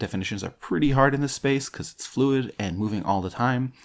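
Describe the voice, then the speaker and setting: Lively intonation from a man, on a very clean recording with a silent background. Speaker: podcast host reading articles. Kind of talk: podcast intro. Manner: stumbling, repeating words.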